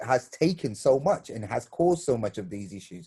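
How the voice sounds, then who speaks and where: Here a man talks at a moderate pace in a medium pitch. His tone is dark and mellow, and somewhat breathy. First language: Bengali. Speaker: theatre maker, panelist. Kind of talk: virtual panel discussion. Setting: video call. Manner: halting, many repeated words.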